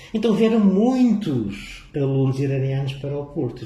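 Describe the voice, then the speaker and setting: A man's voice swings very widely in pitch, and audible room echo surrounds it. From northern Portugal, Vila do Conde. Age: 60s. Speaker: physics professor. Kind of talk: casual interview.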